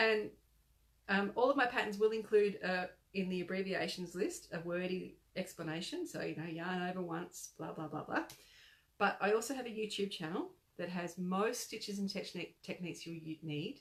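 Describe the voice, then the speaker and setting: A woman with an Australian accent, medium pitch, ordinary pitch variation and a moderate pace. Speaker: crochet designer. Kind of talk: casual live-stream chat. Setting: live video chat. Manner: animated.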